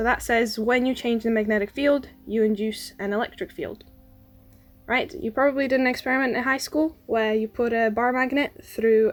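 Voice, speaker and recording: Music plays in the background. A woman speaks at a moderate pace with a fairly high pitch. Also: ordinary pitch variation. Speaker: science YouTuber. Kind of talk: educational explainer, unscripted. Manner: quiet, trying to speak louder.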